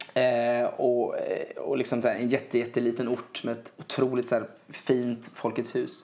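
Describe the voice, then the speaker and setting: A man speaks at a fairly slow pace. Noticeable background noise can be heard. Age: 20s. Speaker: singer-songwriter. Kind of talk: casual chat. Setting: home living room. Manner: halting, many repeated words.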